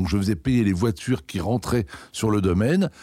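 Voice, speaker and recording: A man speaks with a fairly low pitch and a dark, mellow tone. His intonation is lively, and the recording is very clean with a silent background. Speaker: head gardener. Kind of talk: interview.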